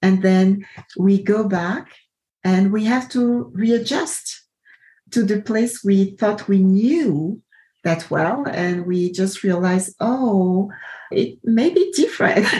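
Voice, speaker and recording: A very slow, somewhat breathy delivery, dark and mellow in tone, with lively intonation. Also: woman, medium pitch for a woman. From Ivory Coast. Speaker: podcast host. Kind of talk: casual interview conversation.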